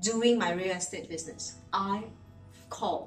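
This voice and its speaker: Very wide pitch swings in a Singaporean accent, with audible room echo. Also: woman. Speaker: real estate agent. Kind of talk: vlog monologue. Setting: at home in bedroom.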